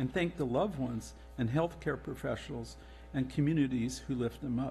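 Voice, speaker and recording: Moderate-paced speech with music in the background. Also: man. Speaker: council member presiding. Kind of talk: formal proclamation reading. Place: hall. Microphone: podium.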